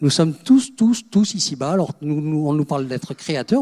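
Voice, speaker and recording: A man's fairly high voice, dark and mellow in tone, moves through very wide pitch swings at a fairly slow pace, the sound dry and close with no echo. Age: 70s. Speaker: spiritual speaker. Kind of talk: conference talk. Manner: halting, many repetitions.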